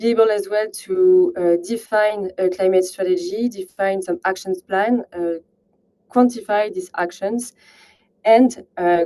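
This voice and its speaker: Speaking fairly slowly at medium pitch, a woman with a French accent has a dark, mellow tone and ordinary pitch variation. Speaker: partnerships manager at a climate software company. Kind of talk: webinar presentation. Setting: online webinar. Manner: halting, many fillers.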